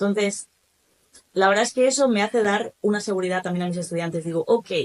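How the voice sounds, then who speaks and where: Someone talks at a very fast pace in a Spanish accent. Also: woman, medium pitch for a woman, ordinary pitch variation. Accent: Spanish (Spain). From Spain. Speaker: German teacher. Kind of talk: podcast interview.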